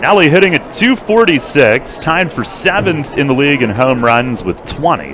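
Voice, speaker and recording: A man with a fairly high pitch talks at a moderate pace with hardly any pauses. His pitch swings very widely, and there is noticeable background noise. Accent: American. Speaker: baseball play-by-play announcer. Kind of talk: live commentary.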